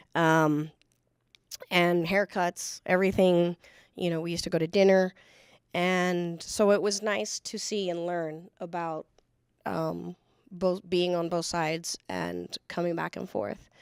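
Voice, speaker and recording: In an American accent, a woman with an unremarkable speaking voice talks at a fairly slow pace, her pitch fairly low and her intonation fairly even, in a dry, close sound with no echo on a very clean recording with a silent background. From El Paso, Texas (US border). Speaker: federal agent. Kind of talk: panel discussion.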